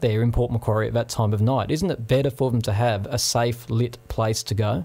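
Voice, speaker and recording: With an Australian accent, a man talks fairly quickly at medium pitch and ordinary pitch variation. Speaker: community radio host. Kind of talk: radio talk show.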